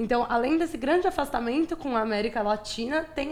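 The speaker is a woman with a high voice. She talks with lively intonation. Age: 20s. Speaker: architecture student. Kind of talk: casual interview.

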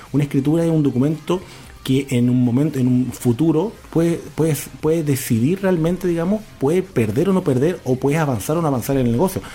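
With music playing behind him, a man speaks fairly quickly, his pitch varying in an ordinary way. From Argentina, Tierra del Fuego. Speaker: business founder. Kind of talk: radio interview.

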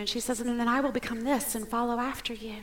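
A woman with high pitch, fairly even intonation and a fairly quick pace, amid noticeable background noise and audible room echo. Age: 40s. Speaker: pastor. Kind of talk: sermon.

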